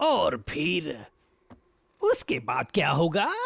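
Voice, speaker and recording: A man puts on a cartoonish character voice. He speaks at a high pitch. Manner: persuasive, scheming.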